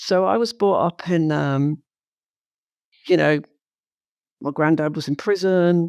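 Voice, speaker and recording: In a London accent, a woman speaks at a fairly low pitch with ordinary pitch variation on a very clean recording with a silent background. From London, England. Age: 60s. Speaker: entrepreneur. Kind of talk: interview.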